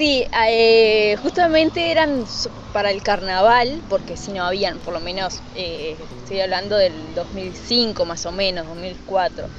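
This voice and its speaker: The speech is very slow, with lively intonation. Background noise is noticeable. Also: woman, medium pitch for a woman. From Uruguay, Treinta y Tres. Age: 20s. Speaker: model and beauty pageant contestant. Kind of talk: interview. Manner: halting, with frequent fillers and repetitions.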